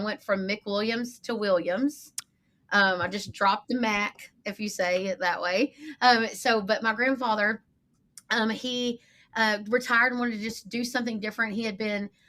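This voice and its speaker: A woman with a Texan accent speaks at a moderate pace in a bright, sharp tone, her fairly high pitch held in fairly even intonation. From East Texas (Lufkin). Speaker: marketing agency owner. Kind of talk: podcast interview. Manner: casual, chatty.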